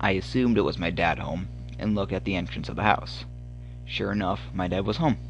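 In a room with audible echo, a man speaks at a fairly quick pace. His very deep, low pitch swings very widely. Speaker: horror story podcaster. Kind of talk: reading aloud. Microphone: phone recording, poor equipment.

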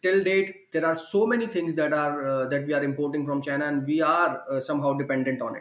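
Over noticeable background noise, a man talks at a fairly quick pace with hardly any pauses, his fairly high voice showing ordinary pitch variation. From India, smaller city. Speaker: IoT hardware entrepreneur and trainer. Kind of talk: interview.

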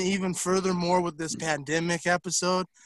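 Projecting a raised voice, a man speaks at a high pitch with a bright, sharp tone, the sound dry and close with no echo. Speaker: podcast co-host. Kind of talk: casual chat. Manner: profane, joking.

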